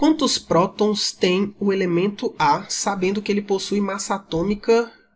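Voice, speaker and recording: Very slowly, a man talks in a high voice. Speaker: chemistry teacher. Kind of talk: lecture. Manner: casual.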